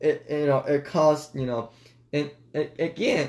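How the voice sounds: Fairly high in pitch, a man speaks at a fairly slow pace. His tone is slightly mellow and his intonation fairly even.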